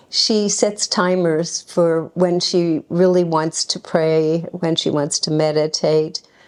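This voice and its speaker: The speech is very slow, with fairly even intonation and noticeable background noise. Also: woman, fairly low pitch for a woman. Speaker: devotee. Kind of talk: spoken tribute to a friend.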